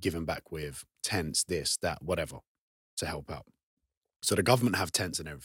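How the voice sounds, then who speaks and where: A man speaks with a very deep, low pitch, and the sound is dry and close with no echo. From England, council estate, Kurdish-Turkish family. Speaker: online fitness coach. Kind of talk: casual chat. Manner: animated, passionate.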